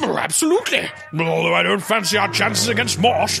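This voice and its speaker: A man talks at a fairly quick pace in a put-on character voice. Loud background noise fills the recording. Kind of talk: comic overacting. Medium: comedy sketch. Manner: plummy, pompous, fond of hmm and ah.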